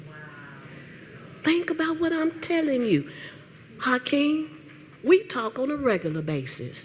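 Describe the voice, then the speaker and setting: At a fairly slow pace, a woman speaks with very wide pitch swings. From Tennessee, Nashville. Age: 60s. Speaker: retired teacher and political activist. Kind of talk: public comment at town hall. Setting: town hall meeting with audience. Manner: animated.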